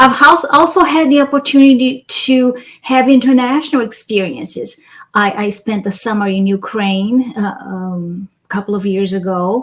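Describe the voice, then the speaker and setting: A woman with a Brazilian accent speaks at a moderate pace and a fairly high pitch, her intonation lively. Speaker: cultural diversity facilitator and author. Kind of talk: interview.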